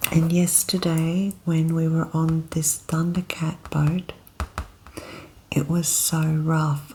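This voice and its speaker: A woman with an Australian accent speaks in a relaxed, soft-spoken way at a very slow pace, her fairly low voice flat and monotone at a very even loudness, over noticeable background noise. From Australia, Queensland. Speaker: ASMR content creator. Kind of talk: ASMR soft-spoken talk to camera. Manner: soft-spoken, relaxed.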